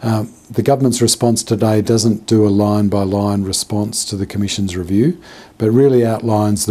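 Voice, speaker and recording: At a moderate pace, a man with a plain, everyday voice speaks in a fairly low pitch with fairly even intonation. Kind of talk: media statement. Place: office.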